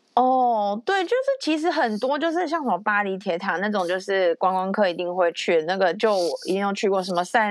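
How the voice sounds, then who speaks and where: A woman talks at a moderate pace with lively intonation. She has an unremarkable speaking voice. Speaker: podcast host. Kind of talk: casual chat.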